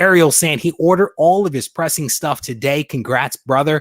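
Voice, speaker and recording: Lively intonation at a fairly quick pace in a very clean recording with a silent background. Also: man, dry, close sound with no echo. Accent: Detroit. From US Midwest, Detroit. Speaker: comic book collector and YouTuber. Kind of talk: live stream chat. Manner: animated.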